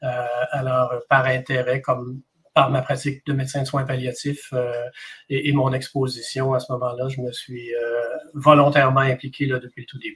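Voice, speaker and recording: Monotone, flat intonation at a moderate pace, in a Quebec accent. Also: man, medium pitch for a man. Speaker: palliative care doctor. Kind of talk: interview.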